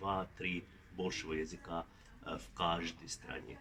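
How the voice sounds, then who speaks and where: A somewhat breathy man with a Finnish accent at a very slow pace. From Finland. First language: Finnish (speaking Russian). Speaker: linguistics professor. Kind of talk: interview. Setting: at a conference. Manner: halting, many filler sounds.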